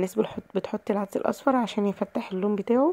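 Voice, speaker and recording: In an Egyptian accent, a woman of medium pitch speaks with fairly even intonation and a dark, mellow tone, the sound dry and close with no echo on a very clean recording with a silent background. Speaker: cooking channel host. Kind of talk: cooking tutorial.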